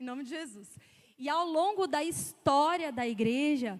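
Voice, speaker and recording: This woman's voice sits high in pitch, with lively intonation. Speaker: preacher. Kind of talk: sermon.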